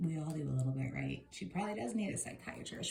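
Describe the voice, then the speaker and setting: This woman's voice sits at a very deep, low pitch. It carries a somewhat breathy quality. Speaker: tarot reader. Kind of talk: tarot reading video, casual commentary. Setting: home video recording, on camera. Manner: fast; animated.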